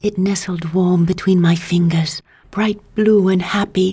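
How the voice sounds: The clip presents a natural reading voice whose intonation stays fairly even.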